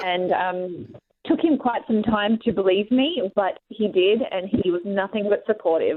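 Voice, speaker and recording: With an Australian accent, a woman speaks at a fairly slow pace and a medium pitch. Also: ordinary pitch variation. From Australia, Sydney. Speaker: professional wrestler. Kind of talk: radio interview.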